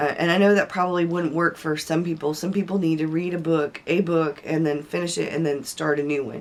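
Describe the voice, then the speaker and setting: A woman talks at a fairly quick pace with hardly any pauses, her fairly low voice holding fairly even intonation. Background noise is noticeable. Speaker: aspiring novelist, book vlogger. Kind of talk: casual talk to camera.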